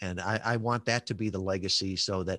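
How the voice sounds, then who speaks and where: A man with an American accent speaks at a moderate pace against a quiet background, the sound dry and close with no echo. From US Midwest, western suburbs of Chicago. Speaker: entrepreneur, former naval officer. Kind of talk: interview, casual chat.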